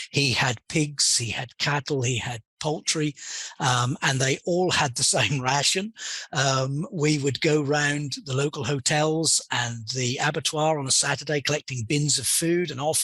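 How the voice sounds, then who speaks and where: A man with a British accent speaks fairly slowly at a fairly high pitch. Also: ordinary pitch variation. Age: 60s. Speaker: pig industry consultant. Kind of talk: interview. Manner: hesitant, with many fillers.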